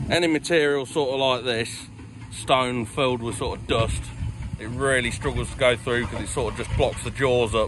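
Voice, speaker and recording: Over noticeable background noise, a man talks at a fairly quick pace with fairly even intonation, the sound dry with no echo. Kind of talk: casual vlog walkaround explanation. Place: open country. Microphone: phone near.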